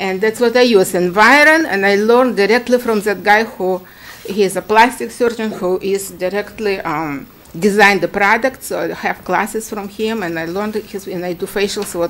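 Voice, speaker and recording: A woman speaks in a Ukrainian accent with ordinary pitch variation. Noticeable background noise can be heard. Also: medium pitch for a woman, moderate pace. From Ukraine. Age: 60s. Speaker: esthetician applying for a permit. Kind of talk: public hearing testimony. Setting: town commission meeting. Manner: halting.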